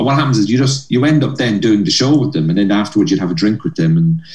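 In a Cork accent, a man talks at a very fast pace. His pitch swings very widely. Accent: Irish (Cork). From Cork, Ireland. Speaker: stand-up comedian. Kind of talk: interview chat about comedy career. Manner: animated, storytelling.

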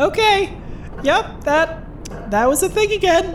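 A female-sounding put-on character voice at an extremely high pitch, fairly slow in pace, over clear background noise. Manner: dripping wet, spluttering.

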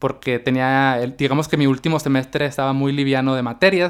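An unremarkable speaking voice at a moderate pace. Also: man. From Mexico, Baja California (Mexicali). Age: 30s. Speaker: podcast host. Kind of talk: solo podcast monologue. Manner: casual, conversational.

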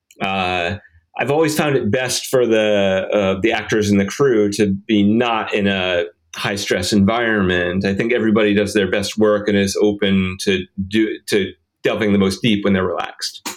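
Here is a man with an ordinary speaking voice and an American accent. His pitch sits fairly low and his pace is moderate. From rural Rhode Island, US. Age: 40s. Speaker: film director. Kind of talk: interview, casual conversation.

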